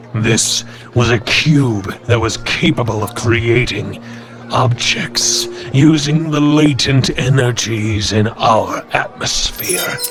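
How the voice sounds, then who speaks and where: Clear music plays behind a man doing a put-on character voice. He speaks at a very slow pace and a medium pitch. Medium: audio drama. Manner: measured, solemn.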